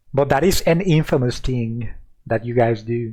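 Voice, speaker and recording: A man with a Mexican accent talks at a medium pitch against a quiet background. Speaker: streamer. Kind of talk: casual chat. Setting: live stream.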